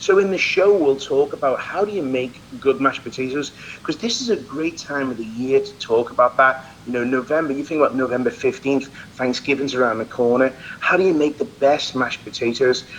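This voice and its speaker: Over noticeable background noise, a man with an English accent speaks at a fairly high pitch with ordinary pitch variation. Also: fairly quick pace. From England. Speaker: celebrity chef. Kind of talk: interview. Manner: animated.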